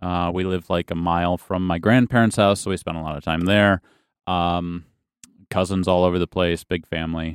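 A man with a very deep, low pitch and a Midwestern American accent, monotone and flat in intonation, at a moderate pace, in a dry, close sound with no echo. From western Michigan, small town. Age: 30s. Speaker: pastor. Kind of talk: testimony.

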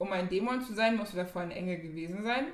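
A woman is speaking. There is audible room echo. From Germany, Ghanaian community. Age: 20s. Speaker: podcast co-host. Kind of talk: casual chat.

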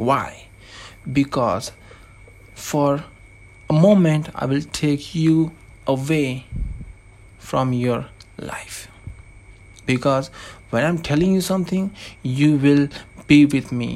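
Speaking with a non-native accent, a man talks at a very slow pace with long, frequent pauses. His fairly high pitch varies in an ordinary way. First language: not English. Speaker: anonymous podcaster. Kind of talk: monologue podcast intro.

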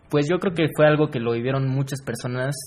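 At a fairly quick pace, a man speaks at a medium pitch in a somewhat breathy voice with fairly even intonation. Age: 20s. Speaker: university student. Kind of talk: casual interview.

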